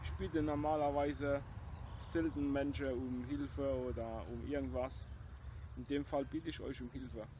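At a moderate pace, the speech comes through dry with no echo over noticeable background noise. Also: man. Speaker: video blogger urging viewers to share a sermon. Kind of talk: personal appeal introducing a sermon, passionate religious address. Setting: self-filmed video. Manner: earnest, emphatic, fervent; blunt, defiant. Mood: earnest, solemn. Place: garden. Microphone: phone near.

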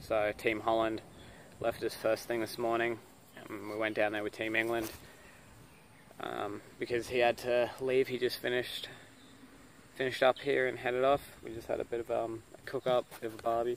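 Over light background noise, a man talks at a moderate pace in a monotone, flat intonation. The sound is dry with no echo, and he leaves long, frequent pauses. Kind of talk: casual vlog chat. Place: open country. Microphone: phone near.

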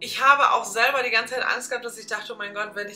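Over faint music in the background, a woman talks at a very fast pace with ordinary pitch variation. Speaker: vlogger. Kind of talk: casual vlog chat. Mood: earnest, reflective. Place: home room.

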